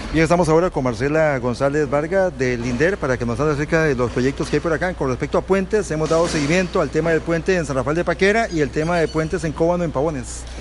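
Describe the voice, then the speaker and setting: Music runs in the background as a man speaks with a fairly high pitch. He goes at a very fast pace with hardly any pauses. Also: ordinary pitch variation. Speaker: local radio journalist. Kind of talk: radio news interview. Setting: on location reporting.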